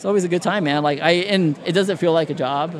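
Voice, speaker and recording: Speaking with typical pitch movement, a man is heard amid noticeable background noise and audible room echo. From Indiana. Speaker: graphic designer, former wrestling referee. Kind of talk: casual chat.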